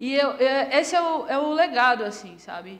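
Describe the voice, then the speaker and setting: Room echo can be heard around a voice whose pitch moves in an ordinary way. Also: woman. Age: 30s. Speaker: entrepreneur. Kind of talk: interview. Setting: studio.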